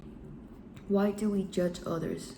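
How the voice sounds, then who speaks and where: A woman's voice with a non-native accent. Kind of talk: self-help talk to camera.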